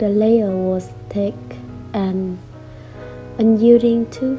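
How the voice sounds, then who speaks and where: Music plays in the background as a woman speaks. Her tone is calm and her pace very slow. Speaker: poet. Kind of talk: poetry reading. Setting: soft background music. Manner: soft, calm.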